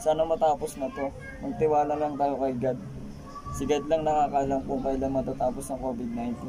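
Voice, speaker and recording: A man with a fairly high voice talks at a fairly quick pace, his pitch variation ordinary, amid noticeable background noise. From Philippines. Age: 20s. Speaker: vlogger. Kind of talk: casual vlog introduction; casual vlog chat. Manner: halting, stumbling. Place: home room. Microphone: phone near.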